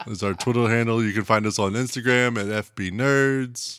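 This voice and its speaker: Speaking in a normal speaking voice with an American accent, a man keeps a medium pitch and fairly even intonation. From United States. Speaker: podcast co-host. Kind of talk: casual chat. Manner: laughs often.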